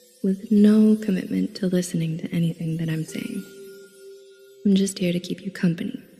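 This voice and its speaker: A woman's medium-pitched voice, calm in tone with fairly even intonation, over music in the background. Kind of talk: guided meditation. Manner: soft, calm, slow.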